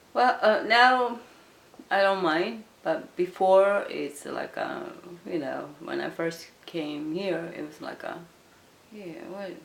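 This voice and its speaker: A woman at a medium pitch with lively intonation, a very slow pace, long, frequent pauses, big swings in loudness and audible room echo. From South Korea. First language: Korean. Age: 50s. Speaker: Korean immigrant interviewee. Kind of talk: interview. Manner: halting, many fillers.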